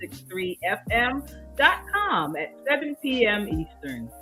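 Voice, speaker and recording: Backed by music, a woman's intonation rises and falls in a lively way. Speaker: pastor, radio show host. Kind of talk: announcement, promotional.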